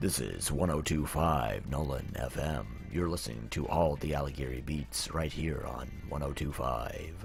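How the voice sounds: A put-on character voice moves at a moderate pace with hardly any pauses over loud background noise. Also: man.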